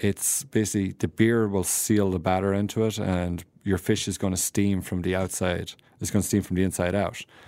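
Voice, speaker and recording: In an Irish accent, a man speaks at a moderate pace with hardly any pauses, his very deep, low voice dark and mellow. His intonation is flat and monotone, and the recording is very clean with a silent background. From Ireland, County Tipperary. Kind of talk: casual interview. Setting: studio.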